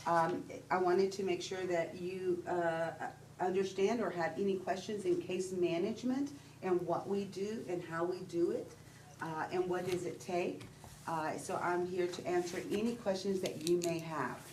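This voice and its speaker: With a Texan accent, a woman talks at a moderate pace and medium pitch, her intonation fairly even, with audible echo from the room. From Texas. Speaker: disaster case manager. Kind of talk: presentation at public meeting. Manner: hesitant, with fillers.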